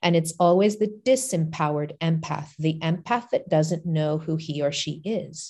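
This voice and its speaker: A woman speaks at a fairly low pitch, somewhat breathy. The background is quiet. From Portugal. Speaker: life coach and spiritual teacher. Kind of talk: interview conversation.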